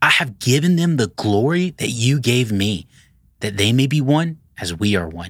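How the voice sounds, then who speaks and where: This man has an unremarkable speaking voice, medium in pitch, with lively intonation and a moderate pace. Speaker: pastor leading devotional. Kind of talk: devotional reading and prayer. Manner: earnest, fervent.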